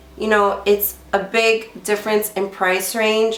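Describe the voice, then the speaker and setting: This is a woman speaking at a medium pitch. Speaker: beauty vlogger. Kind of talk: product review vlog. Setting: home filming at night, lights lowered. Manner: casual, filler-heavy.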